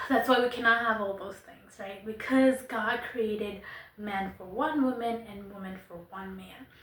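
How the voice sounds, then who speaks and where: Over noticeable background noise and audible room echo, a woman talks at a moderate pace with fairly high pitch. Her intonation stays fairly even while her loudness swings widely. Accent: non-native. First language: not English. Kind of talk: monologue to camera. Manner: casual, conversational.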